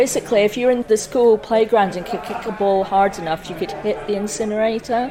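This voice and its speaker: Hardly pausing, a woman talks at a fairly quick pace and a fairly high pitch with fairly even intonation. Noticeable background noise can be heard. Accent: Aberdeen. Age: 60s. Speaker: community activist. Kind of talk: interview.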